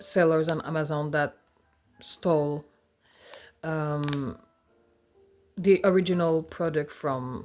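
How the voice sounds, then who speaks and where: A woman speaks in a Quebec accent at a very slow pace. Her pitch is very deep and low, with music in the background. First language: French. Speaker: personal finance vlogger. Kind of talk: casual vlog. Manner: hesitant, with fillers.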